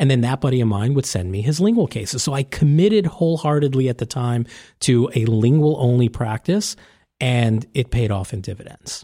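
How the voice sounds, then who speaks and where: Somewhat breathy and dark, mellow in tone, this voice carries an American accent, lively intonation and a fairly quick pace on a very clean recording with a silent background. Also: man, medium pitch for a man. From New York (Staten Island). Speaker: orthodontist and tech founder. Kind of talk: casual interview. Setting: recorded at a conference.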